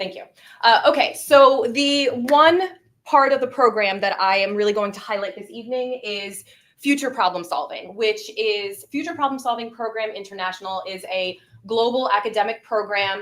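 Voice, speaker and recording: A woman with an unremarkable speaking voice talks at a moderate pace, her pitch fairly high with ordinary pitch variation. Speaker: gifted program coordinator. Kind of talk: presentation to school board. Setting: public meeting.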